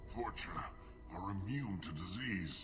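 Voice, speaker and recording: A man's put-on character voice, fairly low in pitch and fairly slow, over loud music in the background. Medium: solo performance. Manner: weak, bitter.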